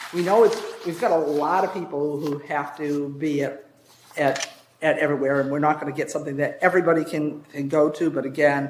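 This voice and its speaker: Amid noticeable background noise, a man with fairly high pitch speaks at a fairly quick pace. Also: fairly even intonation. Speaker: zoning commission member leading meeting. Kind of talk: public meeting discussion. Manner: fast.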